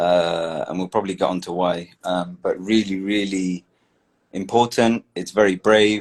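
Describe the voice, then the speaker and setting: With a British accent, a man speaks at a fairly slow pace with very deep, low pitch and fairly even intonation. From England. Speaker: guest, biochemistry graduate. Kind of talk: casual chat. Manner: halting, many fillers. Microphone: cutting off, voice low.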